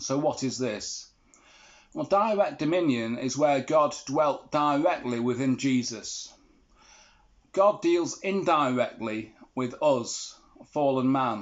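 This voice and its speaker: Speaking with an English accent, a man uses a fairly high pitch and lively intonation at a very slow pace, with long, frequent pauses. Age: 60s. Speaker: vlogger. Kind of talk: monologue to camera.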